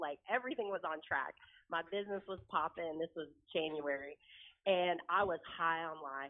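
An ordinary speaking voice from a woman with an American accent, fairly low in pitch, with ordinary pitch variation at a moderate pace. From Oklahoma. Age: 40s. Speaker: real estate broker. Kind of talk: interview testimony.

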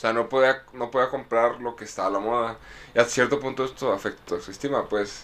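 A man speaks at a fairly quick pace with a Mexican accent. His medium-pitched voice is monotone and flat. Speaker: podcast co-host. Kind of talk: casual chat.

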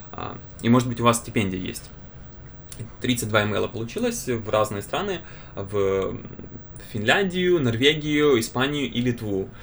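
With lively intonation and long, frequent pauses, a man of medium pitch talks at a fairly slow pace. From Ukraine, Kyiv. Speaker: student podcast host. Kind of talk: casual chat.

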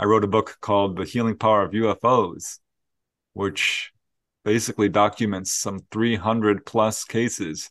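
Over a quiet background, a man with an unremarkable speaking voice talks at a moderate pace, fairly low in pitch with fairly even intonation, recorded dry and close with no echo. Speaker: paranormal researcher and author. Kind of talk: interview.

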